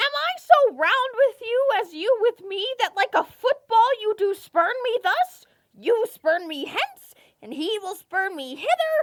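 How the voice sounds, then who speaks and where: The put-on character voice sits at an extremely high pitch and moves at a fairly slow pace. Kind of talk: Shakespeare stage play performance.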